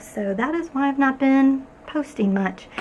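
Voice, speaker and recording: Soft-spoken and lively in intonation, a woman talks amid audible room echo and noticeable background noise. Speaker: arts and crafts YouTuber. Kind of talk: casual vlog update. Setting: garage studio.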